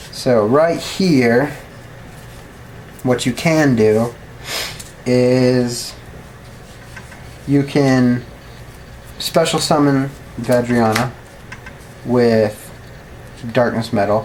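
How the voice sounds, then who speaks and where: Noticeable background noise sits under very slow speech broken by long, frequent pauses. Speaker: card game YouTuber. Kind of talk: tutorial. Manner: casual, filler-heavy.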